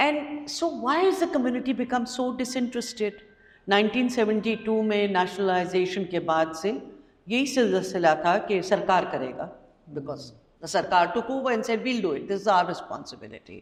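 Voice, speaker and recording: A woman talks at a fairly quick pace with very wide pitch swings, and room echo can be heard. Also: fairly high pitch for a woman. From Pakistan, Lahore. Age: 60s. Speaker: educator and activist. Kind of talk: conference talk. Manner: emphatic.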